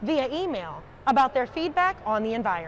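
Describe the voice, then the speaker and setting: A high-pitched woman with an American accent speaks with very wide pitch swings. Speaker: TV news reporter and anchor. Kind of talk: scripted news package anchor read.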